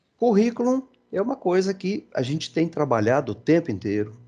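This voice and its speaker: Very wide pitch swings mark a man talking at a fairly slow pace. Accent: Brazilian. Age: 60s. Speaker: engineering education speaker. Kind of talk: presentation. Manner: halting, many fillers.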